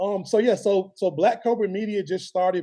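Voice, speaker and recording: A man speaks with a Southern US accent. His tone is dark and mellow. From Alabama (Birmingham). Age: 30s. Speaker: sports videographer and media founder. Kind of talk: interview. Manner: casual, many fillers.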